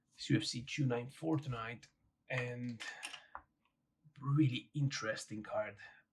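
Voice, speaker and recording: Somewhat breathy, a man at medium pitch speaks with fairly even intonation. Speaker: barber and vlogger. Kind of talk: casual vlog.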